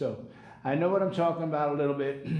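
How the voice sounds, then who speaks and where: The man's voice sits at a fairly high pitch, with ordinary pitch variation. Audible room echo surrounds it. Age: 60s. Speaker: personal trainer. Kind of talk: live workout tutorial. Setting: live stream. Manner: casual, conversational.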